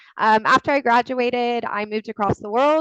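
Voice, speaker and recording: In an American accent, a woman talks with ordinary pitch variation and a dry, close sound with no echo. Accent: American accent, noticeable. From US (born in Texas, university in Colorado). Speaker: legal recruiter. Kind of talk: webinar presentation. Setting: video webinar.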